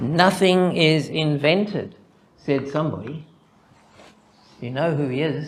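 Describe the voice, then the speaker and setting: With a Zimbabwean accent, the speaker goes at a fairly slow pace with long, frequent pauses and ordinary pitch variation, amid audible room echo and noticeable background noise. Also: man, fairly high pitch for a man. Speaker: mathematician presenting a conference paper. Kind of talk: conference talk. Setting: conference with audience.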